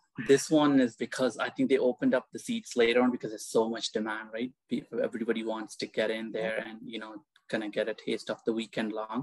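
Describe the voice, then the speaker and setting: Very fast speech with hardly any pauses, a slight Indian-Canadian accent and monotone, flat intonation, dry with no echo against a quiet background. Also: man, medium pitch for a man. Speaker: guest, spiritual seeker. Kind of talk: casual interview chat. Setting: video call. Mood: calm, warm. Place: home room. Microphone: earbuds.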